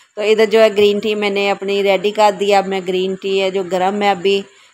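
A woman's medium-pitched, slightly mellow voice at a fairly quick pace, with monotone, flat intonation.

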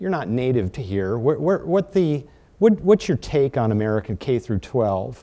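A man's dark, mellow tone comes through at a moderate pace. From US Midwest, North Dakota. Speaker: panel moderator. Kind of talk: moderated panel discussion. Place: meeting room. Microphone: lapel.

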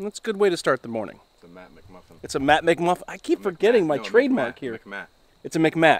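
A man speaks with very wide pitch swings in a dry sound with no echo. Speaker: overland travel vlogger. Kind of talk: casual vlog chat. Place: forest. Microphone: phone near.

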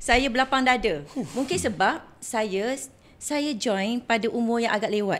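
Her voice is fairly high for a woman, with lively intonation. She speaks at a fairly slow pace. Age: 40s. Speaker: former flight attendant; podcast guest. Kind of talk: casual chat. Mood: cheerful, animated. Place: studio. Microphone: studio mic.

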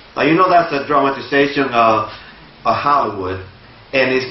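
A man speaks with a Spanish accent at a moderate pace. Audible room echo surrounds his voice. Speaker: lay preacher. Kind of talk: sermon. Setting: church. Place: church.

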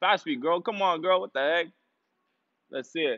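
Against a quiet background, a man speaks with ordinary pitch variation. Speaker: fitness coach. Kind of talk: live workout coaching. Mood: playful, joking. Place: gym. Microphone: earbuds.

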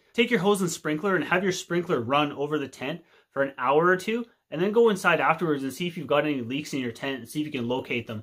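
Over a quiet background, a man with a Canadian accent speaks very fast at a fairly high pitch, with lively intonation. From Canada. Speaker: outdoor video creator. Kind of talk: casual tutorial to camera. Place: home room. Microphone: phone near.

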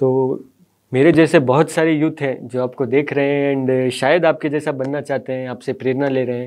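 A man talks at a fairly slow pace in a monotone, flat intonation. The background is quiet. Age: young. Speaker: interviewer. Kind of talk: interview. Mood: polite, respectful. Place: studio.

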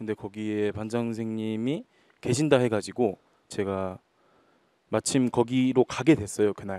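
A man with a dark, mellow tone speaks at a fairly slow pace, leaving long, frequent pauses. His intonation is fairly even and the sound is dry with no echo. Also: quiet background. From Naju, Jeolla, South Korea; Jeolla, South Korea. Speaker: rock guitarist; guest. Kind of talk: casual talk show interview. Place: stage. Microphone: handheld.

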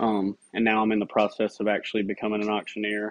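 A man's fairly low voice with a Tennessee accent. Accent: Southern US (Tennessee). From Middle Tennessee. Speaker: real estate agent and army veteran. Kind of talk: self-introduction video. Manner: casual, with fillers. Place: home room. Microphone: phone near.

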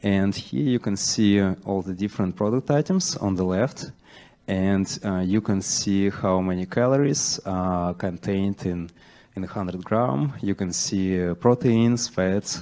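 Slightly mellow in tone, a man speaks at a low pitch. He keeps a fairly slow pace.

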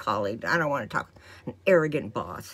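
A woman's voice with vocal fry and very wide pitch swings. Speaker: vlogger. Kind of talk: casual vlog chat. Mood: light, amused. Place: home room. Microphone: phone near.

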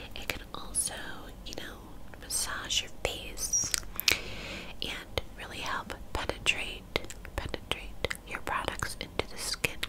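A soft-spoken woman's whisper, very slow with long, frequent pauses, under loud background noise. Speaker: beauty video creator. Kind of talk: casual vlog chat. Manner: soft close-mic whisper. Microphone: studio mic.

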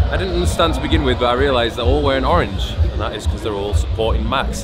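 A man talks as music plays behind him. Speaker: vlogger. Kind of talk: casual vlog chat. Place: street. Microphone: phone near.

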